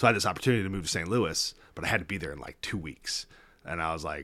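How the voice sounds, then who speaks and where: Talking very fast with a Midwestern American accent, a man has a bright, sharp tone and vocal fry. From Kansas City, US Midwest. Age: 40s. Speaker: attorney. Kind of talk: casual chat.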